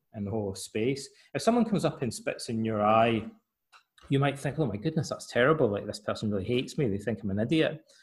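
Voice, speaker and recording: At a very fast pace, a man with a somewhat breathy voice at medium pitch talks with lively intonation. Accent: Scottish. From Scotland. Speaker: author and psychotherapist. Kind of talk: interview conversation.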